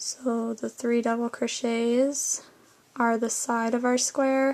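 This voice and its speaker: The delivery is very slow, with monotone, flat intonation. Loudness stays very even throughout. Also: woman, high pitch for a woman. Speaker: crochet tutorial host. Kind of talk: tutorial.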